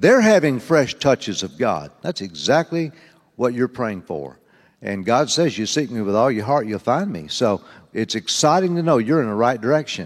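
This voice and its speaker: A man speaks at medium pitch and a moderate pace, his pitch swinging very widely. The recording is very clean, with a silent background. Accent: Southern US. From US South. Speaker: preacher. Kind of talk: sermon. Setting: church.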